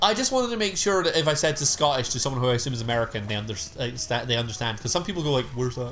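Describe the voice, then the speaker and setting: A man with a medium-pitched voice talks at a very fast pace with lively intonation and hardly any pauses. Noticeable background noise runs under him. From Scotland. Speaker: streamer. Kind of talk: casual chat. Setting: live stream. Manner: animated.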